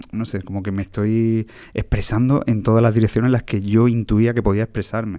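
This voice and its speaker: A man talks at a fairly quick pace with medium pitch and fairly even intonation, in a plain, everyday voice. The background is quiet. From Andalusia, Jaén province. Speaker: classical guitarist. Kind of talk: casual interview chat. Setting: theatre press room.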